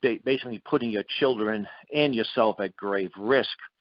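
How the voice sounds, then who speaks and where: With an ordinary speaking voice, a man talks at a moderate speed. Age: 60s. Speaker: radio host. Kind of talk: interview. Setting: radio show.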